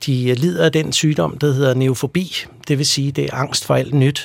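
An ordinary speaking voice. The pace is fairly slow. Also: man. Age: 40s. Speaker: pest control company executive. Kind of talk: radio interview.

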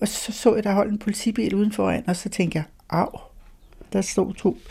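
On a very clean recording with a silent background, a woman speaks fairly slowly in a dark, mellow tone, with vocal fry and fairly even intonation. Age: 80s+. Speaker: spiritual medium's companion. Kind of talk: interview. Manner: halting.

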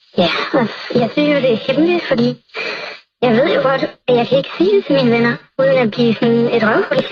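A woman speaks at a high pitch with ordinary pitch variation. Her pace is fairly quick, broken by long, frequent pauses. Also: very even loudness. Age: 20s. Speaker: anonymous secret-sharer. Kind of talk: personal testimony.

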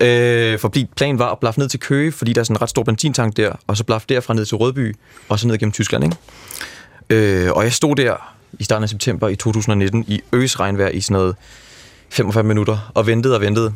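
This man speaks at a medium pitch with ordinary pitch variation and very even loudness. Long pauses break up his speech often. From Denmark. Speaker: backpacker who hitchhiked around Europe. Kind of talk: radio interview. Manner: hesitant, many fillers.

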